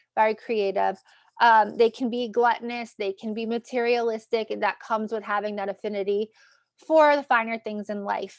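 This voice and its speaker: In a New York accent, a woman with a fairly high voice speaks at a moderate pace with fairly even intonation, the sound dry and close with no echo. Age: 30s. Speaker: astrologer and tarot reader. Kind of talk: tarot reading video. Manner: casual, filler-heavy.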